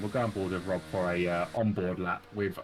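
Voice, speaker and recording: A moderate pace in a British accent. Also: man. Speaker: sim racing commentator. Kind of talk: live commentary. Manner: animated.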